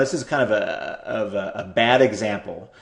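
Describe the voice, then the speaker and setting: Lively intonation amid noticeable background noise. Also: man. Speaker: internet marketing tutor. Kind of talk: screen-share tutorial. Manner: fast; hesitant, repeats words.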